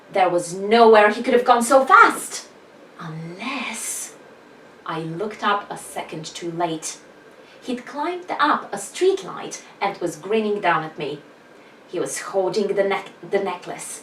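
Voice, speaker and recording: A woman at medium pitch and a fairly slow pace, with ordinary pitch variation and big swings in loudness, amid noticeable background noise and audible room echo. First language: not English. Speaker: author vlogger. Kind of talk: reading aloud own fiction.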